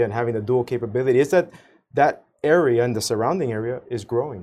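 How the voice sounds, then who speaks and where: An American-accented man at a medium pitch, talking at a very fast pace with ordinary pitch variation, over a quiet background. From South Florida. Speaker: utility company executive. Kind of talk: interview. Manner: halting, many fillers.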